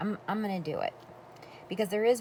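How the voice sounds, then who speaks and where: This woman's voice has a dark, mellow tone and is somewhat breathy. Her pitch varies in an ordinary way. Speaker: crafter. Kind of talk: tutorial. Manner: animated.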